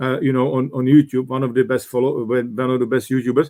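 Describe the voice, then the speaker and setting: A man with a Czech accent. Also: dry, close sound with no echo. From Czech Republic. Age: 60s. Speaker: business coach and former executive. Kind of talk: interview. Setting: live online talk. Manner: hesitant with many fillers.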